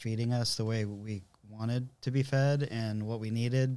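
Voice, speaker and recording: In an American accent, a man uses an ordinary speaking voice at a medium pitch with fairly even intonation. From Southern California. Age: 50s. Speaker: church musician, guitarist. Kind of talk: casual chat, testimony. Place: studio. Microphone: studio mic.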